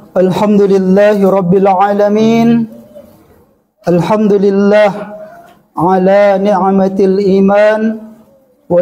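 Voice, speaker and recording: Delivery is very slow, with long, frequent pauses. The intonation is monotone and flat, and loudness stays very even. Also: man. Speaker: Islamic preacher. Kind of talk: religious sermon to a congregation. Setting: mosque.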